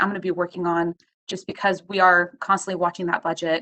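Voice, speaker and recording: Fairly quick and monotone, a woman with a fairly low pitch speaks in a bright, sharp tone. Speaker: county attorney. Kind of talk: formal policy discussion. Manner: fast talker.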